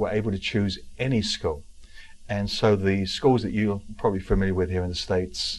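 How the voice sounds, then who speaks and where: A man with an English accent talks at a fairly quick pace and a fairly low pitch. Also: ordinary pitch variation. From England, southwest London (Wimbledon). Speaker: real estate speaker and author. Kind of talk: interview.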